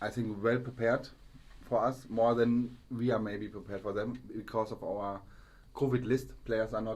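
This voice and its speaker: A man with a German accent in monotone, flat intonation. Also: medium pitch for a man, moderate pace. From Germany. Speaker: football podcast co-host. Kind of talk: casual chat. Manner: halting.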